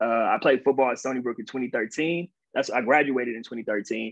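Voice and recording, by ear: A man talks at a fairly quick pace. His pitch is medium, with ordinary pitch variation.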